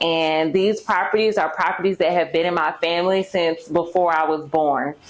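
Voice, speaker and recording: Fairly low-pitched woman with a slight Southern US accent, moderate pace, noticeable background noise. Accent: slight Southern twang. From Mississippi, US South. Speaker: YouTuber and personal finance coach. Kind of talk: casual vlog introduction.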